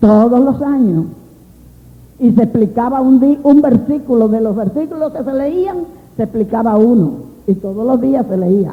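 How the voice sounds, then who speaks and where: A woman speaks at a fairly slow pace with long, frequent pauses. Her voice is high, animated and full of lively intonation. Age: 60s. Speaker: preacher. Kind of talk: sermon.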